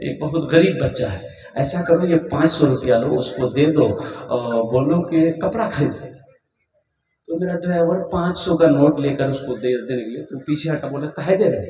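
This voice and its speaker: A man speaks in an energetic tone at a fairly high pitch. His pitch varies in an ordinary way. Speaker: Islamic preacher. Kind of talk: Islamic sermon to a live audience (takrir). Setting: public gathering with PA system. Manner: energetic, humorous, storytelling.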